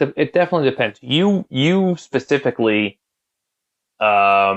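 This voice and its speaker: Against a quiet background with a dry, close sound and no echo, a man with a New York accent talks at a moderate pace with lively intonation. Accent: mild New York. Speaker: guitar pedal builder. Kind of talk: casual chat.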